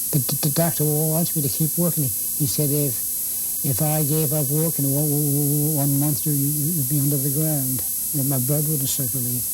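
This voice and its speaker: Music plays in the background as the speaker talks at a moderate pace with very even loudness. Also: man, fairly high pitch for a man, fairly even intonation. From Lunenburg County, Nova Scotia, Canada. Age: 80s+. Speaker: woodworker and carpenter. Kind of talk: interview answer. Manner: stammering, repeats words.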